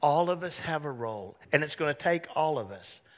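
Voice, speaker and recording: A man talks at a fairly slow pace in a fairly high pitch. His tone is animated. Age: 60s. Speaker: pastor. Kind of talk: sermon.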